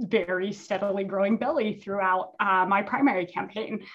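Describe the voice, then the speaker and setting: An unremarkable speaking voice belongs to a woman with an American accent, at medium pitch. Her pace is moderate and her pitch variation ordinary. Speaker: political consultant and former candidate. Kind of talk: casual interview.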